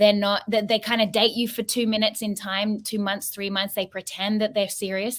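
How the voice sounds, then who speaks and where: A woman with an Australian accent, medium pitch and monotone, flat intonation at a fairly quick pace, on a very clean recording with a silent background. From Sydney, Australia. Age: 30s. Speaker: podcast co-host. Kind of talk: casual panel discussion.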